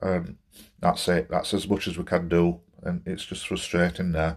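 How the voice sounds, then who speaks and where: Monotone and flat, a man speaks at a fairly slow pace with a very deep, low pitch. The background is quiet. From Barnsley, South Yorkshire. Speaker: football fan and gaming vlogger. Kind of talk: angry football rant vlog. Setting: solo home recording to camera. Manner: venting, exasperated, fed-up; rambling, hesitant with many fillers. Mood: frustrated, disappointed. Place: home room. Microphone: phone near.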